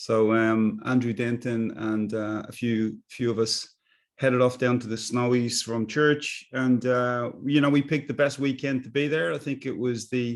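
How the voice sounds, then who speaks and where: A man with a Dublin accent speaks with fairly even intonation. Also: medium pitch for a man, moderate pace, quiet background. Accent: Dublin Irish. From Ireland, Dublin. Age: 60s. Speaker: business coach. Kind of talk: casual chat. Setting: video call.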